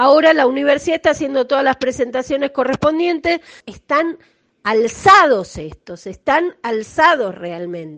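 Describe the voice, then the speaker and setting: Big swings in loudness and very wide pitch swings at a moderate pace, with a dry, close sound and no echo. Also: woman, high pitch for a woman. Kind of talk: testimony.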